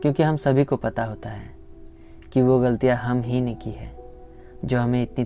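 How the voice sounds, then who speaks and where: A man's voice with music in the background. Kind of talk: motivational spoken-word monologue.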